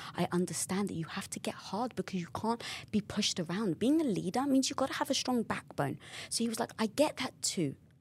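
A woman speaks in a London accent, her voice somewhat breathy. Her pitch swings very widely. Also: medium pitch for a woman, fairly quick pace. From England, North London. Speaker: entrepreneur and podcast host. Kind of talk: casual interview chat. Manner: animated.

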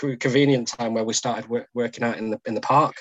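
Monotone, flat intonation runs through this man's speech. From Macclesfield, north-west England. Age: 30s. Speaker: civil engineer, podcast guest. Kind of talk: casual interview chat.

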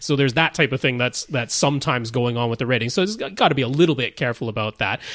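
A man's medium-pitched voice at a very fast pace, hardly any pauses, dry and close with no echo. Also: ordinary pitch variation. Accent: Canadian. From Canada. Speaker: podcast host.

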